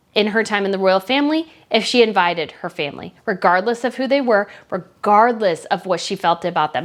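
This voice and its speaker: Moderate pace and lively intonation from an unremarkable speaking voice, very clean recording, silent background. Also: woman. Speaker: news commentator. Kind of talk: casual talk to camera.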